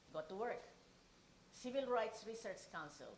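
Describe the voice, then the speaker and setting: A woman talks at a moderate pace in a fairly high voice. The room echo is audible. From Philippines. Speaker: keynote speaker. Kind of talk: speech.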